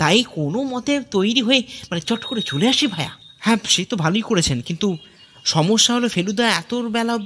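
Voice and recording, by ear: The text is read aloud in a natural voice.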